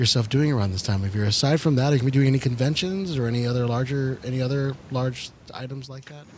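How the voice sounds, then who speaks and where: A man's very fast, medium-pitched speech with hardly any pauses and ordinary pitch variation, over noticeable background noise. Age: 30s. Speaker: paranormal podcast co-host. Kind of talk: casual chat.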